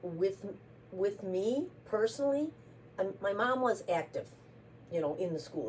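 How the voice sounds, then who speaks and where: A woman speaks at a moderate pace with an Upper Midwest accent. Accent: Upper Midwest American. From US Midwest, Racine, Wisconsin. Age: 70s. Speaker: interviewee. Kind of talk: casual interview.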